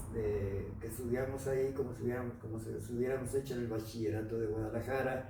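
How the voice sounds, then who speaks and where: Noticeable background noise and audible room echo both fill the recording. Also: man. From Mexico, Los Altos de Jalisco (Jalostotitlán). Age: 70s. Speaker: broadcaster, actor, writer and painter. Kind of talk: interview. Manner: halting.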